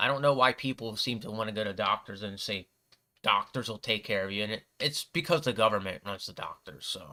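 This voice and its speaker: The recording is very clean with a silent background. A man speaks fairly quickly at a medium pitch with a bright, sharp tone and ordinary pitch variation. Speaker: livestream bible reader. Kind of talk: casual commentary on bible reading. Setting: livestream with camera. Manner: halting, stutters when reading.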